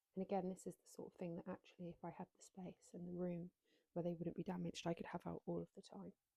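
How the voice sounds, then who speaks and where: Soft-spoken and marked by vocal fry, this voice has a dark, mellow tone. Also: woman, dry, close sound with no echo. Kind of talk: ASMR show and tell.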